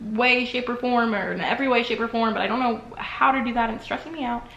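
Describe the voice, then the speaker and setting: Amid noticeable background noise and audible room echo, a woman with a high pitch talks in an animated tone at a very fast pace. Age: 20s. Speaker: vlogger. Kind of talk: personal vlog monologue. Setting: bathroom.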